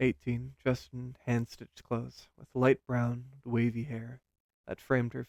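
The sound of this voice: An unforced reading voice over a quiet background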